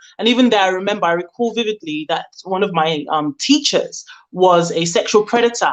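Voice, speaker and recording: In a London accent, a woman talks at medium pitch with lively intonation. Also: fairly quick pace. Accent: British (London). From Nigeria, then UK. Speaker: caller. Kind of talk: live call-in discussion. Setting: phone call into live show. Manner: hesitant, many fillers.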